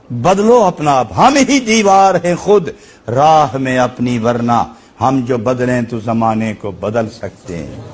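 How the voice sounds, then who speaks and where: A man talks in a passionate tone with very wide pitch swings. Noticeable background noise runs behind him. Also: medium pitch for a man. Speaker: religious scholar. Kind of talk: Islamic sermon (bayan) to a live audience. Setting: mosque or hall with live audience. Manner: passionate, emotive, oratorical.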